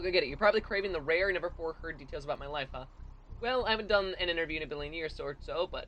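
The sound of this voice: The clip features an unforced reading voice.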